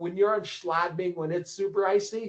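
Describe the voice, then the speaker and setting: Spoken in an American accent, the voice shows ordinary pitch variation. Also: man. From Minnesota, US. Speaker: ski coach and publisher. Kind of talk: casual interview.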